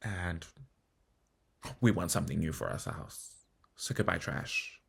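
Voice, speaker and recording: At a moderate pace, a man speaks in a very deep, low pitch with vocal fry and lively intonation. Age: 30s. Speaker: vlogger. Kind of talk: personal vlog monologue. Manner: animated.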